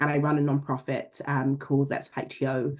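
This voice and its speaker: Against a quiet background, a woman with a London accent talks at a moderate pace in a very deep, low voice of dark, mellow tone and monotone, flat intonation. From England, London. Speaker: leadership program director, panelist. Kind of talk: panel introduction.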